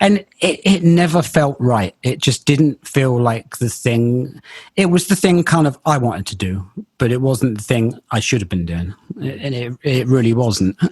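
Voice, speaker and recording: A man with a medium-pitched, somewhat breathy voice speaks at a fairly slow pace with very wide pitch swings, the sound dry and close with no echo. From England, Bristol. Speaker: loudspeaker company engineer. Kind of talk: interview conversation. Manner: halting, repeats words.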